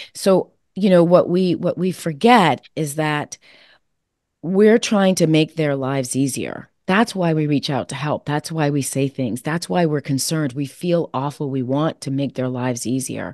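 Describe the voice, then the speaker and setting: A woman with a very deep, low pitch at a moderate pace, the sound dry and close with no echo against a quiet background. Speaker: author and support coach. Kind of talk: panel discussion.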